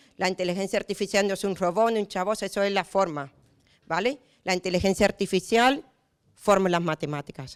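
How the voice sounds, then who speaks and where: A woman talks at a fairly quick pace with an Andalusian accent, her tone animated and her pitch variation ordinary. The recording is very clean with a silent background and a dry, close sound with no echo. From Andalusia, Spain. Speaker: municipal auditor and lecturer. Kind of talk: conference talk. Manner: fast.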